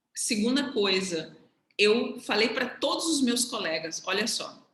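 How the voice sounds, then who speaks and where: The room echo is audible in this clip. The speech moves very slowly, with lively intonation. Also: woman. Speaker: economist sharing career path with students. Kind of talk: casual mentoring conversation on video call.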